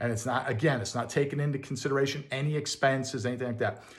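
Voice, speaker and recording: A man with a fairly high pitch talks in a somewhat breathy voice. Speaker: landlord and real estate video host. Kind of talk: casual tutorial. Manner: fast; casual, many fillers.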